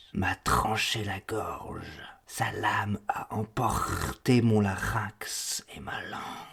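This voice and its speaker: In a put-on character voice, someone whispers at a very slow pace with a hissing sound. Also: man. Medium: read story. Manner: flat, terse, evasive.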